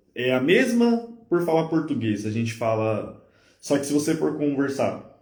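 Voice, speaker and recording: Speaking at a fairly slow pace, a man with a fairly high pitch swings his voice very widely up and down amid audible room echo. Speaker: podcast host. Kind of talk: casual chat. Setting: live stream.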